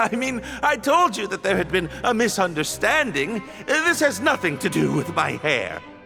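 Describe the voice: With faint music in the background, a man does a put-on character voice at a high pitch, bright and sharp in tone, with vocal fry and big pitch swings. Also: moderate pace.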